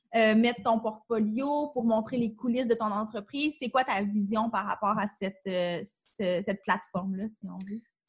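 A somewhat breathy woman with a Quebec accent, at a fairly slow pace with hardly any pauses. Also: fairly high pitch for a woman, ordinary pitch variation. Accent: Québécois French. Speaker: podcast host. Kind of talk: interview.

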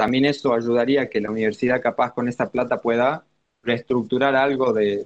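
This is a man with an Argentine accent. His pitch sits in the medium range. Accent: Argentine Spanish (Rioplatense). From Argentina. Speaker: university student, finance guest. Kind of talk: explanatory interview.

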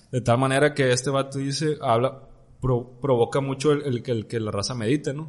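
A normal speaking voice, a man's medium pitch, fairly even intonation at a moderate pace. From Mexico. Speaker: podcast host. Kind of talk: casual chat.

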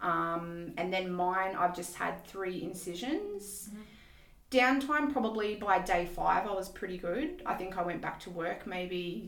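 In an Australian accent, the speaker talks at a fairly slow pace with ordinary pitch variation, and the room echo is audible. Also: woman, medium pitch for a woman. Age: 40s. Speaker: IVF patient and mother. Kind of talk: interview.

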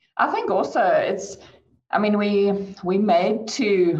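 A woman's voice comes through somewhat breathy. Audible echo fills the room around her. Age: 30s. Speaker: chartered accountant. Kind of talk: online panel discussion.

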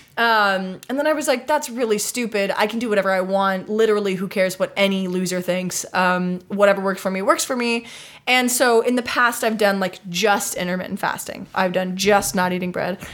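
A woman has a normal speaking voice at medium pitch with ordinary pitch variation. She talks at a fairly quick pace with hardly any pauses. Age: 20s. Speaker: podcast host and actor. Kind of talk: casual chat.

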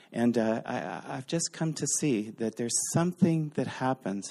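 In a Canadian accent, a man speaks at a moderate pace with lively intonation, in a dry, close sound with no echo and a quiet background. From Eastern Canada. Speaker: visiting speaker. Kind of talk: sermon. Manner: halting.

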